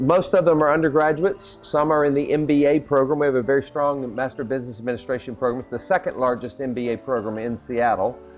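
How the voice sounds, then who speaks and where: Over music in the background, a man with a medium pitch and ordinary pitch variation talks at a very fast pace with hardly any pauses. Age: 60s. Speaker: university president. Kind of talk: interview. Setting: in Indonesia, visiting. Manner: enthusiastic.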